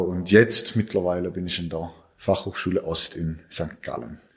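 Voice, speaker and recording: A man is talking. The audio is very clean and the background is silent. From Switzerland. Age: 20s. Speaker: cancer survivor, amputee. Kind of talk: interview. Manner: halting.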